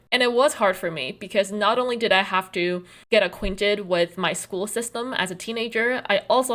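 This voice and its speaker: With a Chinese accent, a woman speaks at a medium pitch and a moderate pace, her pitch varying in an ordinary way. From China, then US (New Jersey) as teen. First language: Mandarin Chinese. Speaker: content creator, web comic artist. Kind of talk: personal video essay.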